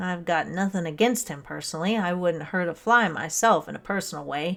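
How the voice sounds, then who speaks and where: A man's put-on character voice, high in pitch, at a fairly quick pace. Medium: read story. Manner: stolid, grumbling.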